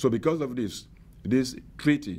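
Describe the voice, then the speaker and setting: This man's intonation is lively. He speaks at a moderate pace. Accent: South Sudanese. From South Sudan. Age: 50s. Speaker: bishop. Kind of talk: advocacy testimony to camera.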